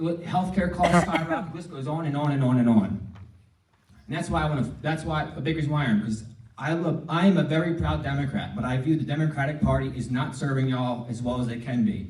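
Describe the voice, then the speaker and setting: This man's voice is fairly high, with ordinary pitch variation. He talks at a fairly quick pace, and audible room echo can be heard. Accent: American. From New Jersey. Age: 30s. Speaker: congressional candidate. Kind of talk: campaign speech at forum. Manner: halting, repeats words.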